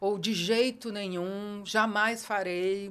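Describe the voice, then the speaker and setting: This woman speaks in a medium pitch. The recording is very clean, with a silent background. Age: 60s. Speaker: educator. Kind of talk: casual interview.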